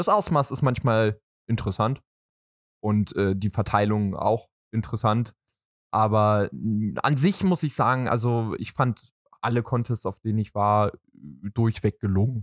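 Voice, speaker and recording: In a dry, close sound with no echo, a man with a fairly low pitch speaks at a fairly slow pace, leaving long, frequent pauses. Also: ordinary pitch variation, very clean recording, silent background. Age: 20s. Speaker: boyfriend of a K-pop dancer. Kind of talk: casual chat.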